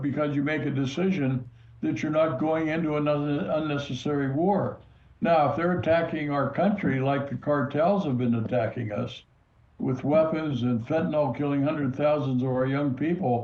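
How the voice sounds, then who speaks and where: Somewhat breathy, a man speaks in a fairly high pitch at a moderate pace with ordinary pitch variation. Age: 80s+. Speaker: retired army general. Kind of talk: interview.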